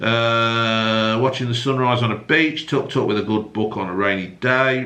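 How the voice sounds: Strong room echo surrounds a man speaking at a fairly slow pace, his medium-pitched voice bright and sharp in tone with ordinary pitch variation.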